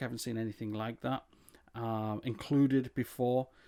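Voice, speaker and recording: A man with an English accent speaks at a moderate pace. The recording is very clean, with a silent background. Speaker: tech reviewer and voiceover artist. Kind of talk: product review. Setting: home desk recording setup. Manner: casual, hesitant with fillers.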